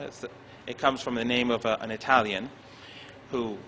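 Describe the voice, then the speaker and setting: Fairly quick, medium-pitched male speech over noticeable background noise. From Iran. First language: not English. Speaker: professor. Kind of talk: lecture. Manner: halting.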